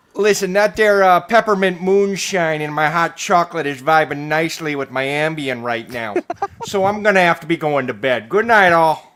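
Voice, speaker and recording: A man puts on a nasal character voice in a Chicago accent, pitched high, at a moderate pace. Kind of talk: casual, folksy.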